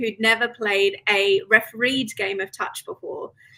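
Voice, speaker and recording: Fairly high female voice at a moderate pace, with noticeable background noise. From Australia. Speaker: sports team manager. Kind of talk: interview.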